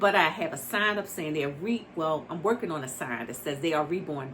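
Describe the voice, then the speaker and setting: Noticeable background noise sits under a woman whose intonation is lively. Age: 60s. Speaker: doll collector vlogger. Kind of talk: casual vlog talk to camera. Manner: conversational with frequent fillers.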